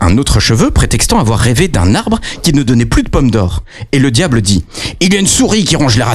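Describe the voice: Reading aloud, plain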